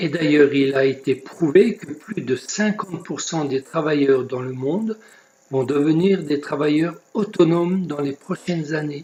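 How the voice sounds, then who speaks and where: The delivery is fairly slow, with ordinary pitch variation. Noticeable background noise runs underneath. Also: man, fairly high pitch for a man. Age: 70s. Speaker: network marketing recruiter. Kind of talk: sales pitch.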